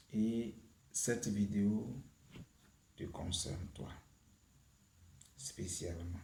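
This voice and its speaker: In a room with audible echo, a man with a dark, mellow tone and fairly low pitch speaks very slowly and somewhat breathily, with ordinary pitch variation and long, frequent pauses. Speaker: YouTube prayer channel host. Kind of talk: spiritual teaching and prayer. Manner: hesitant, with many fillers.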